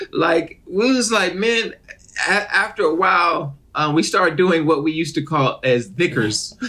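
Lively intonation at very even loudness, amid noticeable background noise. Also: man, high pitch for a man, moderate pace. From Detroit, Michigan, US. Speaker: actor and comedian. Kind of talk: casual interview chat. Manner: animated.

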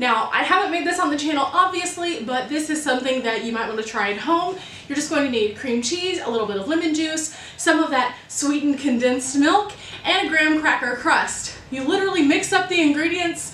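Light background noise and audible room echo accompany a woman's voice. She speaks at a high pitch and a fairly quick pace. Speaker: baking vlogger. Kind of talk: casual vlog chat. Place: kitchen.

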